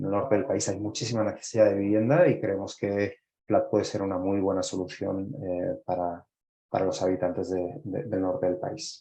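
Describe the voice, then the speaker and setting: With a Spanish accent, a man speaks at a fairly low pitch. His pace is moderate, with ordinary pitch variation. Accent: Spanish (Spain). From Spain. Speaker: startup executive. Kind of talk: interview. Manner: halting with frequent fillers.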